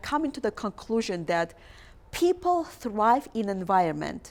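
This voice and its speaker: A woman with a non-native accent speaks at a moderate pace in a fairly high pitch. Her pitch swings very widely. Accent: foreign. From outside the US, multilingual background. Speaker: talk show host. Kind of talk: interview talk show; motivational address. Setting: TV studio. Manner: animated.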